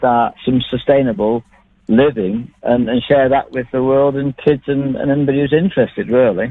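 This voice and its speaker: The speaker has a Mancunian accent and a moderate pace. Pitch varies in an ordinary way. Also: man, medium pitch for a man. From Manchester, England. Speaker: long-distance traveller. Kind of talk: radio phone interview. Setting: phone call.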